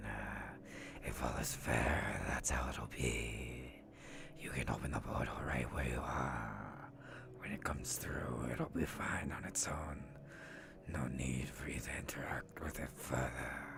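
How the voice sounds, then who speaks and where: A put-on character voice whispering at a fairly slow pace over loud background noise. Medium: game stream. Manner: menacing.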